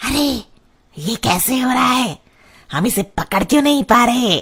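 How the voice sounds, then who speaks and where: In a cartoonish character voice, the speaker uses a fairly high pitch at a moderate pace. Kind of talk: cartoon horror voice acting.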